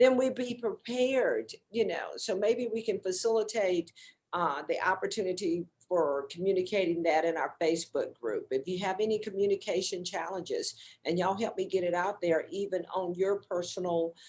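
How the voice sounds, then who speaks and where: A woman uses a plain, everyday voice, keeping a medium pitch, ordinary pitch variation and a moderate pace. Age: 60s. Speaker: wellness show host. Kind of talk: casual group discussion. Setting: Facebook live stream.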